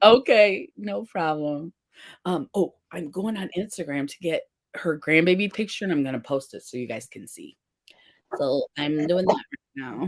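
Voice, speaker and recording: A woman speaks at a fairly slow pace with long, frequent pauses, big swings in loudness and very wide pitch swings, all in a dry, close sound with no echo. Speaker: makeup and face paint artist. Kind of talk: casual livestream chat. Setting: live stream.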